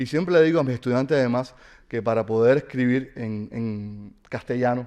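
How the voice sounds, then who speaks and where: A man talks with a dark, mellow tone. His pitch varies in an ordinary way. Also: medium pitch for a man, moderate pace. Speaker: university professor and novelist. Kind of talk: lecture. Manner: halting, many fillers.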